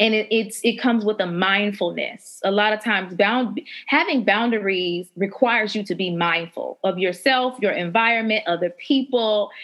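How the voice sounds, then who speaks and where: A woman at a fairly high pitch and moderate pace, with ordinary pitch variation and hardly any pauses, over music in the background. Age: 30s. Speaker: podcast host and life coach. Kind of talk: group discussion.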